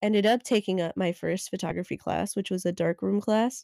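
Speaking with an American accent, a woman at medium pitch keeps a monotone, flat intonation in a dry, close sound with no echo. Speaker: podcast co-host. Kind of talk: casual chat.

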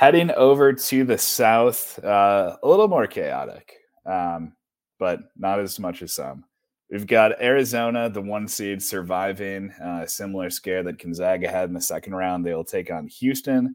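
A man with an unremarkable speaking voice and a fairly low pitch talks at a moderate pace with ordinary pitch variation. His loudness swings widely on a very clean recording with a silent background. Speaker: sports podcast host. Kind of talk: casual sports talk.

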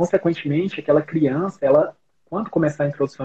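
Speech comes at a very fast pace from a man. His intonation stays fairly even. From Goiás interior, Brazil (Rio Verde). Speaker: pediatrician. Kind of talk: casual chat.

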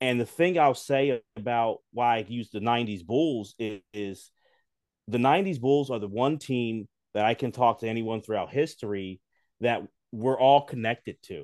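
Using a plain, everyday voice, a man with an American accent speaks at a moderate pace with a medium pitch and ordinary pitch variation. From US, Philadelphia. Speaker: sports podcaster. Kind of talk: casual chat.

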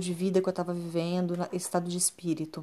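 A woman speaks at a fairly quick pace in a medium pitch. Her tone is dark and mellow, and the recording is very clean with a silent background. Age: 30s. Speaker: therapist and podcast host. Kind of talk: personal monologue podcast. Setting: recording alone at home at night.

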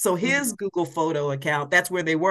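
This woman has an ordinary speaking voice with an American accent and a fairly low pitch. Her pitch varies in an ordinary way against a quiet background. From US Midwest, Columbus, Ohio. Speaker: public speaker and caregiver. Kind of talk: casual interview.

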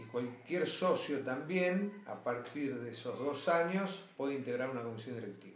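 Lively intonation in a Rioplatense accent, fairly slow in pace, with audible room echo and noticeable background noise. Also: man. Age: 60s. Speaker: sports club board member. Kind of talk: interview.

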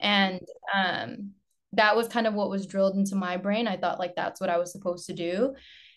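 Here is a woman with a normal speaking voice at a medium pitch. She talks at a fairly quick pace with fairly even intonation. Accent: American. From Lynn, Massachusetts, US. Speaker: nurse, model and dancer. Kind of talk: casual chat.

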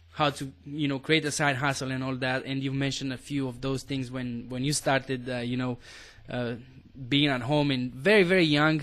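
A man with a normal speaking voice, a medium pitch, fairly even intonation and a moderate pace. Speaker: podcast host. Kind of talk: casual interview chat.

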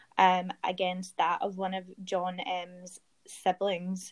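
This is a woman's voice with a Glaswegian accent. Her pitch is medium. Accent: Scottish, Glaswegian. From Glasgow, Scotland. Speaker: guest storyteller, true crime fan. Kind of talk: casual storytelling.

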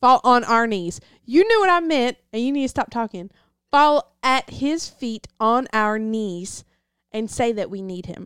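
With an American accent, a woman speaks at a fairly slow pace with lively intonation and big swings in loudness. The recording is very clean with a silent background, dry and close with no echo. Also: fairly high pitch for a woman. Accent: Southern US, toned down. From US South. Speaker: Bible teacher. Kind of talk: casual Bible teaching.

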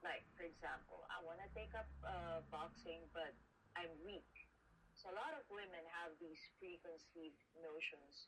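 Vocal fry runs through fairly even intonation at a fairly slow pace. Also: woman. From Philippines. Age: 30s. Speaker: professional boxer. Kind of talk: interview. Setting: video call.

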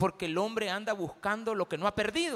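A man's high-pitched voice. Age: 50s. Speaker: pastor. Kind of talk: sermon.

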